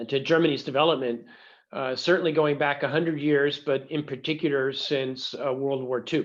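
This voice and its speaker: Speaking with an American accent, a man keeps a moderate pace. His fairly high voice stays monotone and flat. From United States. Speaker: professor. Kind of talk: lecture. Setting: video call. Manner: hesitant, many fillers.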